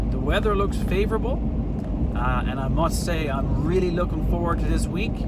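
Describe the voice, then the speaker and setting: Loud background noise surrounds fairly quick speech that sounds dry with no echo. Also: man. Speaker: outdoors channel host. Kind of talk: casual vlog chat. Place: car. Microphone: phone near.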